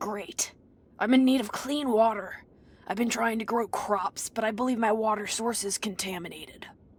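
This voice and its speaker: A put-on character voice from a woman, raspy and fairly high in pitch, at a moderate pace with ordinary pitch variation. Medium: video game. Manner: wry, practical.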